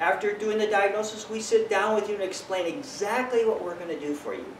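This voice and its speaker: A man with an American accent talks at a moderate pace, with audible room echo and light background noise. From Bakersfield, California, USA. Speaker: tree doctor, certified arborist. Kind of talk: business promotional talk to camera. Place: garden. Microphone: camera far.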